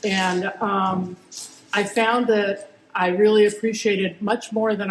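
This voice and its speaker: Background noise is noticeable here. A woman does the talking. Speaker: attorney and board candidate. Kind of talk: candidate speech at town hall. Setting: community town hall meeting. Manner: loud.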